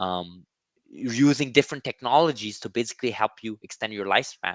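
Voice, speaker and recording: Bright and sharp in tone, a man speaks at a fairly quick pace. The sound is dry and close with no echo, over a quiet background. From Quebec, Montreal. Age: 30s. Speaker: gene-editing investing YouTuber. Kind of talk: interview conversation. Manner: halting, many fillers and repeats.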